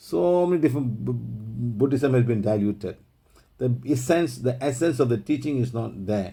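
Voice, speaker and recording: Here a man speaks in a dark, mellow, somewhat breathy tone at medium pitch. His pace is moderate, and his pitch variation is ordinary. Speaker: spiritual healing teacher. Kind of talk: online group teaching session. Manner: long run-on sentences.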